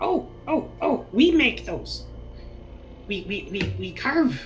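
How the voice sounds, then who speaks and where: In a put-on character voice, the speaker goes at a very slow pace over clear background noise. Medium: actual play. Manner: broken pidgin English, halting, nervous.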